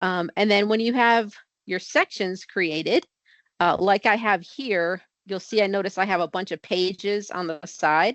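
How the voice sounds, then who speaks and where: The woman's voice sits at a medium pitch and varies in pitch in an ordinary way. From Connecticut, US Northeast. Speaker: software trainer. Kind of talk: tutorial. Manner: fast.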